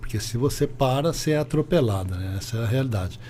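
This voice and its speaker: A man with a medium-pitched, somewhat breathy voice speaks in a dark, mellow tone with ordinary pitch variation. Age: 60s. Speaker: business owner. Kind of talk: interview.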